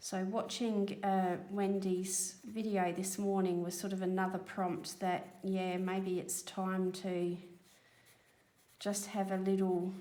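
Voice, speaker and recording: A woman speaks very slowly in a medium-pitched, dark, mellow tone with monotone, flat intonation. Audible room echo surrounds her voice. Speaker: colouring video creator. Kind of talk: casual chat while colouring. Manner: relaxed, hesitant fillers.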